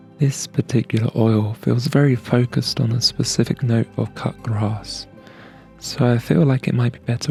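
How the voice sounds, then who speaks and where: Music in the background behind a soft-spoken man with fairly even intonation. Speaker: aromatherapy ASMR creator. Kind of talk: ASMR aromatherapy narration.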